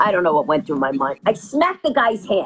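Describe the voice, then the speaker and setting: Speaking at a fairly quick pace with a New York accent, a woman sounds animated, her pitch swinging very widely. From New York, Queens. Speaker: comedian. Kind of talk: storytelling in interview.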